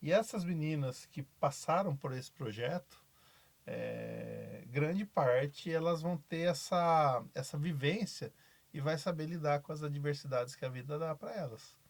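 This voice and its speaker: A man speaks at a fairly high pitch with ordinary pitch variation and a somewhat breathy sound. The recording is very clean, with a silent background. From Brazil, São Paulo interior. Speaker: basketball coach. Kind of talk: podcast interview.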